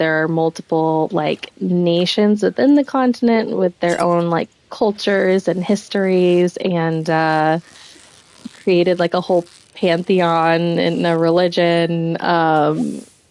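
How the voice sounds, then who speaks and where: A soft-spoken woman with a fairly low voice talks at a very slow pace, her loudness staying very even. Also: fairly even intonation. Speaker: streamer. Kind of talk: casual chat. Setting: live stream.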